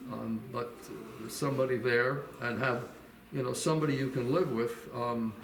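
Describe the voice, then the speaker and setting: A man with a medium-pitched voice speaks at a moderate pace with fairly even intonation and long, frequent pauses, over noticeable background noise and audible room echo. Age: 80s+. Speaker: senior citizen interviewee. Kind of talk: casual interview.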